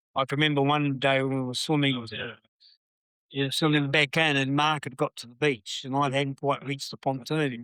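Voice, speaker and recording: At a moderate pace with long, frequent pauses, a man with a New Zealand accent speaks in a fairly high, bright, sharp voice, flat and monotone yet swinging widely in loudness, with a dry, close sound and no echo. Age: 70s. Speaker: swim coach. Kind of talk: casual chat. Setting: cafe. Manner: halting.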